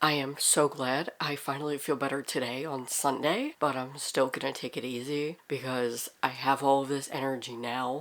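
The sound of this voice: Putting on a character voice, a woman speaks very deep and low, nasal and raspy, in a monotone, flat delivery. Her pace is moderate, with hardly any pauses.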